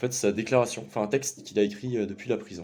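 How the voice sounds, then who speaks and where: The speaker is a man. His tone is dark and mellow. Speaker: activist vlogger. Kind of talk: casual commentary and reading aloud. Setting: just back from a protest. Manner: halting, many hesitations.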